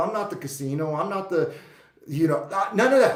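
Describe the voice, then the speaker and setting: A loud, animated man at a fairly quick pace, his intonation lively, with audible room echo. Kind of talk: casual vlog monologue.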